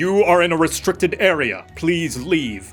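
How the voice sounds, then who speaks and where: Over faint background music, a man uses a put-on character voice, high in pitch, at a moderate pace. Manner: authoritative, commanding.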